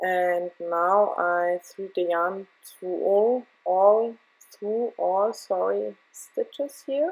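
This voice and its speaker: A woman talks at a very slow pace with a German accent. Her pitch is medium, with ordinary variation. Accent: German accent, non-native English. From Germany. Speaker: crochet tutorial maker. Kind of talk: tutorial. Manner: halting, with fillers.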